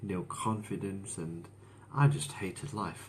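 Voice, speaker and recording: In a room with audible echo, a man with a fairly low pitch speaks at a fairly slow pace. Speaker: motivational speaker sharing his mental health story. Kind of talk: live stream monologue. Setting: Facebook live stream. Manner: slow, deliberate.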